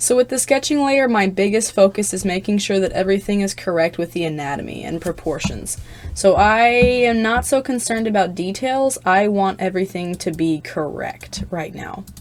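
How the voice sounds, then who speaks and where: Lively intonation marks a woman's medium-pitched voice. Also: moderate pace. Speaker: digital artist. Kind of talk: drawing tutorial narration. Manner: rambling, unscripted.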